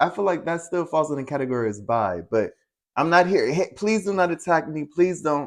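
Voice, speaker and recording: A normal speaking voice with lively intonation at a moderate pace against a quiet background. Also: man. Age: 30s. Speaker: podcast co-host. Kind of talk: casual chat.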